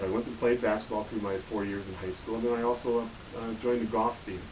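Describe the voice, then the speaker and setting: Over noticeable background noise and audible room echo, a man with an American accent talks at a fairly quick pace in a monotone, flat intonation. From Michigan, Detroit area. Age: 50s. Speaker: police officer. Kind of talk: interview. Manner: halting, many fillers.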